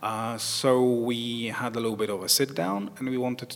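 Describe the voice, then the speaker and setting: A man at a fairly slow pace, fairly even intonation, noticeable background noise. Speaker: band musician. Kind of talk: interview.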